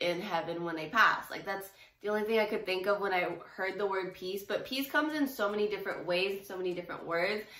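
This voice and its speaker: Speaking at a medium pitch with ordinary pitch variation, a woman is heard with audible room echo and noticeable background noise. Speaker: faith vlogger. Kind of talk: casual devotional vlog talk. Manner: casual, many fillers.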